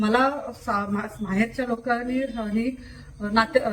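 Over noticeable background noise, a woman talks in a high pitch. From Kolhapur, Maharashtra, India. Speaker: social worker and award recipient. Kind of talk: testimony. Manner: halting.

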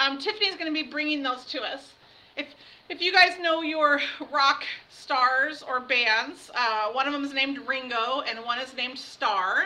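A woman uses a raised, projected voice. She moves at a fairly slow pace with lively intonation. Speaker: outdoor education teacher. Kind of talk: online lesson to students. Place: classroom. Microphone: webcam.

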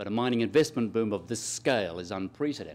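A man with an Australian accent, lively in intonation and fairly quick. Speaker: economist, professor; professor. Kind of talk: lecture. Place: hall. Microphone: podium.

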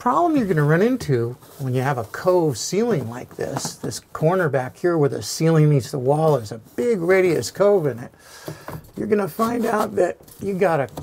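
A man speaks with a high pitch over light background noise. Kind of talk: tutorial.

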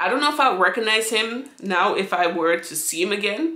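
A woman of medium pitch speaks at a moderate pace with lively intonation. There is audible room echo over a quiet background. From St. Vincent. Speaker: YouTuber; vlogger. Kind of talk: storytime monologue. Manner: casual, rambling with many fillers. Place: home room. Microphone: phone near.

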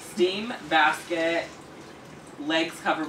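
Noticeable background noise runs under the voice. The pace is moderate. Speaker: haul video host. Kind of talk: casual vlog chat. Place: home room. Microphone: camera far.

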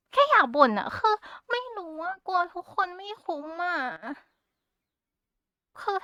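Raised and projected, a woman's extremely high voice moves through very wide pitch swings. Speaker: Vtuber. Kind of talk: casual talk to camera, rambling. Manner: cute, chatty.

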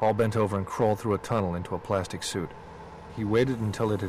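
An unforced reading voice, fairly even in intonation

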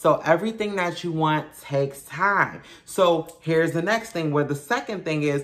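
A woman with a New York accent speaks at a fairly slow pace and fairly low pitch, with ordinary pitch variation against a quiet background. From Brooklyn, New York. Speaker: YouTuber, motivational vlogger. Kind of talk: motivational talk to camera. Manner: casual, conversational. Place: home room. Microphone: phone near.

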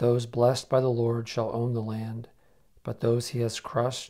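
Over a quiet background, the voice has a dark, mellow tone. It keeps a moderate pace. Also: man. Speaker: prayer co-leader. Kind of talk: liturgical prayer. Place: home room. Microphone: lapel.

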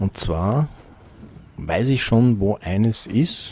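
A man speaks in an upbeat tone, his voice dark, mellow and somewhat breathy. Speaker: gaming video host. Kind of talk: let's play commentary. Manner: casual, upbeat. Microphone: studio mic.

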